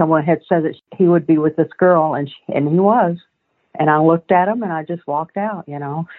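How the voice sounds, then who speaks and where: At a fairly quick pace, a woman talks with a fairly low pitch and fairly even intonation. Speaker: interviewee, mother of missing child. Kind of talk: recorded interview, personal testimony. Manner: halting, rambling, conversational.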